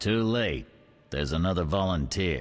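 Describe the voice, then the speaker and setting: Putting on a character voice, a man with a very deep, low pitch talks at a moderate pace with very wide pitch swings. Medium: video game. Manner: curt, commanding.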